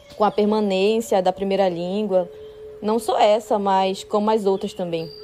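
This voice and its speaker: A woman's medium-pitched, monotone voice at a fairly slow pace, against noticeable background noise. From northwestern Amazonas, Brazil (São Gabriel da Cachoeira). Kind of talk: personal testimony.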